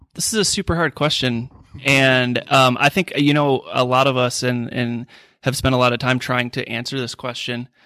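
A man with an American accent speaks at a moderate pace and medium pitch, his tone bright and sharp with fairly even intonation. The sound is dry and close with no echo, on a very clean recording with a silent background. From US Midwest, Minneapolis. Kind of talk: group discussion around a table.

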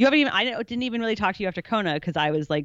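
Her intonation is lively. The woman speaks with an American accent. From Chicago. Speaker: pro triathlete and journalist, co-host. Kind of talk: casual chat.

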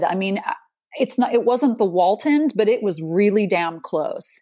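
Speaking at a moderate pace, a woman has a fairly high pitch, a dark, mellow tone and lively intonation. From Utah, US. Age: 40s. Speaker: resilience coach. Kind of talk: interview. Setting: remote call.

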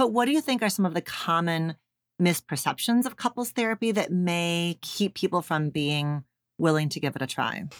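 A woman's unremarkable speaking voice, fairly low in pitch, at a moderate pace with lively intonation, in a dry, close sound with no echo. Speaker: psychologist and author. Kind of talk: casual interview conversation.

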